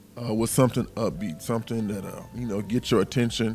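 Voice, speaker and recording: A man's normal speaking voice with an American accent, medium in pitch, fairly quick, with ordinary pitch variation. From US South, Alabama. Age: 40s. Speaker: smooth jazz saxophonist. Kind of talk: interview.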